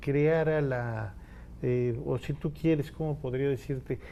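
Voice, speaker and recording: This man talks very slowly, his pitch fairly high. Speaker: poet. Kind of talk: TV interview.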